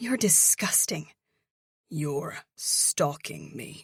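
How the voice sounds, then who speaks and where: A put-on character voice growls at a middle pitch, moving at a very slow pace. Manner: taut with anger.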